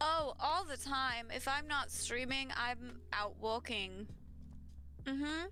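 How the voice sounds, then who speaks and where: In an American accent, a woman talks at a very slow pace with very even loudness. Audible room echo surrounds her voice. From US Midwest, Wisconsin. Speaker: streamer. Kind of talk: casual chat.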